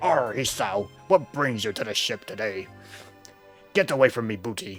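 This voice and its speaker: A put-on character voice from a man, raspy and medium in pitch, at a moderate pace with faint music in the background. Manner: playful swagger.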